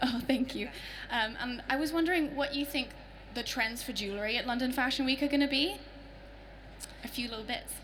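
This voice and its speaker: The speaker has an American accent and talks at a fairly quick pace with ordinary pitch variation, broken by long, frequent pauses. Noticeable background noise and audible room echo fill the recording. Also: woman, high pitch for a woman. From partly American. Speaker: audience member asking a question. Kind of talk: audience question. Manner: loud.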